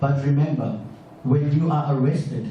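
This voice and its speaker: Audible room echo and noticeable background noise surround a man speaking in a medium pitch. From South Africa. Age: 20s. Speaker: audience member asking a question. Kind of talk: public Q&A comment.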